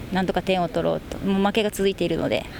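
The speech comes out in a monotone, flat intonation against noticeable background noise. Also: woman. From Okinawa, Japan. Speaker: women's football player-coach. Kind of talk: radio interview.

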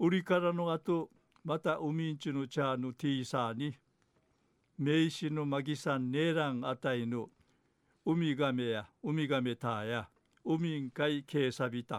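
Using a plain, everyday voice, a man with a fairly high pitch speaks at a moderate pace with ordinary pitch variation. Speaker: dialect news presenter. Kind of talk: news reading.

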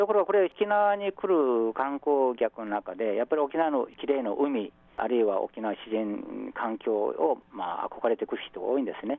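With a Korean accent and a fairly high pitch, a man speaks with very wide pitch swings and hardly any pauses. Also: moderate pace. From South Korea, Busan. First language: Korean (speaking Japanese). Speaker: professor. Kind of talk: radio interview.

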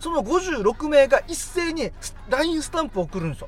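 This man's intonation is lively as he speaks fairly quickly, with noticeable noise in the background. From Okinawa, Japan. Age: 30s. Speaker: radio podcast host. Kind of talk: casual chat.

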